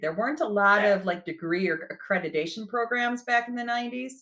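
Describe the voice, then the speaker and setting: A woman speaks with a Midwestern accent in a bright, sharp tone at medium pitch. Her pace is fairly quick and her intonation lively. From US Midwest. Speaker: HR director. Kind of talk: podcast interview.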